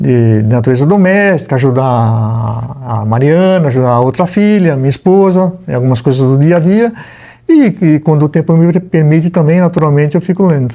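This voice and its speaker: A man at a fairly high pitch with lively intonation, very even loudness and a moderate pace, against noticeable background noise. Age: 60s. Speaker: retired prosecutor, lawyer. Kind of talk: casual interview at home. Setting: home library. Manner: hesitant, many fillers.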